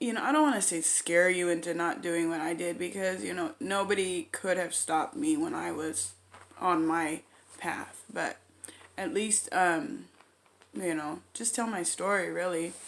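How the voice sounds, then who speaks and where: In a quiet, fairly low voice, a woman speaks at a moderate pace with lively intonation. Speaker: vlogger sharing recovery story. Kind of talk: storytime monologue. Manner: hesitant, many fillers.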